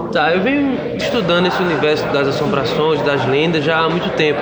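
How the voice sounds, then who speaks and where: A man talks at a moderate pace with a fairly high pitch. Noticeable background noise and audible room echo fill the recording. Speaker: film director. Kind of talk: casual interview.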